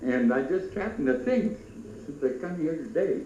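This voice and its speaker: Speaking at a moderate pace, a man with a high pitch swings his voice very widely, amid audible room echo and noticeable background noise. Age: 80s+. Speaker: former stagecoach driver. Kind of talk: oral history interview. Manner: halting, many fillers.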